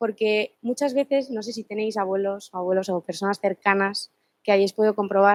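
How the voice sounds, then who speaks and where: Using a normal speaking voice, a woman talks fairly quickly with ordinary pitch variation, in a dry, close sound with no echo. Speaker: law student presenting a book. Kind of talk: seminar presentation. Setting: seminar room with live and online audience.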